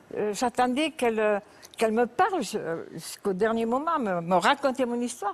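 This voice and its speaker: A woman with a fairly high pitch talks at a moderate pace, her pitch swinging very widely. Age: 70s. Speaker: talk show guest. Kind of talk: tv interview testimony. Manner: halting.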